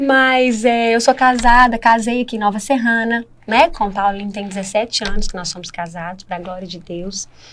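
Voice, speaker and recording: A woman with an unremarkable speaking voice, fairly high pitch, ordinary pitch variation and a moderate pace. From Minas Gerais, Brazil. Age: 30s. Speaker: church member sharing testimony. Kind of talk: podcast interview testimony.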